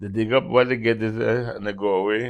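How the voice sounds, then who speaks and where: A man speaks at a moderate pace with a Grenadian accent. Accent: Grenadian Caribbean. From Carriacou, Grenada. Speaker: musician. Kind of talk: oral history interview answer. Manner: hesitant, reminiscing.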